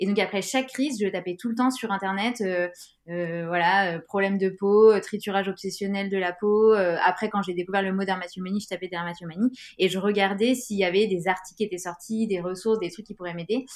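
This woman has an unremarkable speaking voice at a medium pitch. Her pace is fairly quick. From France, Grenoble. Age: 30s. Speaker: non-fiction author. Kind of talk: interview.

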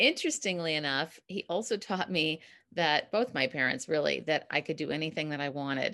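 The background is quiet as this woman speaks at a moderate pace. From US Midwest, Minneapolis. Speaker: communication coach. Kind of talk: casual interview chat. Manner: laughs often.

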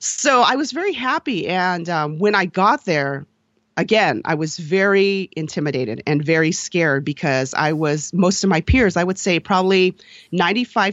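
With an unremarkable speaking voice, the speaker moves at a moderate pace with lively intonation. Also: woman. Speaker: dancer and podcaster. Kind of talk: casual interview chat.

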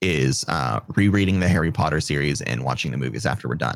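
The pitch swings very widely, with vocal fry throughout. The pace is moderate. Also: man. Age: 30s. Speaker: streamer and podcaster. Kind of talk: casual chat.

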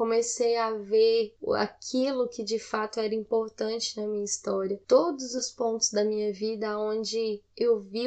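Fairly slow and monotone with flat intonation, a woman speaks at a fairly high pitch in a dark, mellow tone. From Goiânia, Brazil. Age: 20s. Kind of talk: personal testimony. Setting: home recording late at night.

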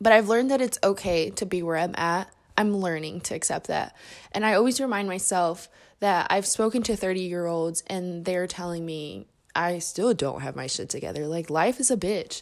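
Moderate-paced woman with a Midwestern American accent, medium pitch and ordinary pitch variation, on a very clean recording with a silent background. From Indianapolis, Indiana. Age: 20s. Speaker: podcast host. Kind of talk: casual monologue. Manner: talkative.

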